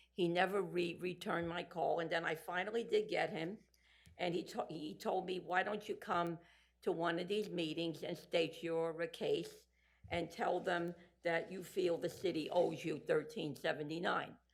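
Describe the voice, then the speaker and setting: Heard with audible room echo, a woman talks at a fairly low pitch and a moderate pace with fairly even intonation. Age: 70s. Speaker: resident addressing city council. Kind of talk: public comment at council meeting. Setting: council meeting podium.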